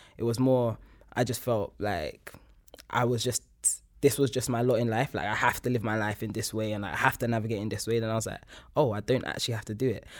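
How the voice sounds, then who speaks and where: This man speaks at a very fast pace. His intonation stays fairly even. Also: medium pitch for a man. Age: 20s. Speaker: academic and artist. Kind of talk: casual chat.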